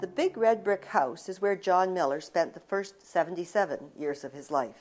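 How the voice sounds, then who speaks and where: Speaking at a moderate pace, a woman with an unremarkable speaking voice and medium pitch shows big swings in loudness. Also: lively intonation. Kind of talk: documentary narration.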